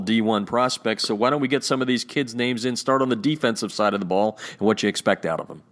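This man has an ordinary speaking voice, talking at a fairly quick pace with fairly even intonation. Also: hardly any pauses. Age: 50s. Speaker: podcast host. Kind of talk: interview.

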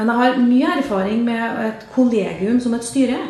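Amid audible room echo and noticeable background noise, a woman speaks with a fairly high pitch. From Trøndelag, Norway. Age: 50s. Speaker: local politician. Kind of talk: interview. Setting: studio.

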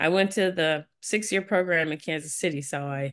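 A woman speaks with an American accent at a fairly low pitch, her intonation fairly even. She has a normal speaking voice, and the background is quiet. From US Midwest, St. Louis, Missouri. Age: 50s. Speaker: physician and health company founder. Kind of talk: interview.

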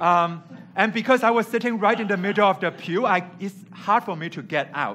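Projecting a raised voice with a bright, sharp tone, a man with a high pitch talks at a fairly quick pace with ordinary pitch variation. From Hong Kong. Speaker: preacher. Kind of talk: sermon. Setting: church.

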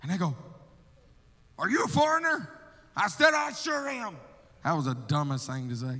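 An animated man in an Alabama accent, bright and sharp in tone, with lively intonation at a moderate pace and audible room echo. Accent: Southern US (Alabama). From US South, Alabama. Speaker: missionary. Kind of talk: sermon. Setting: church.

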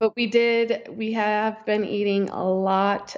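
A woman talks at a very slow pace. Her intonation is monotone and flat. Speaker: podcast co-host.

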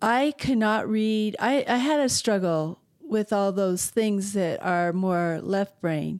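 A woman with a medium-pitched voice speaks at a very slow pace. The recording is very clean, the background silent. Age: 60s. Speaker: sculptor and art teacher. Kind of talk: interview.

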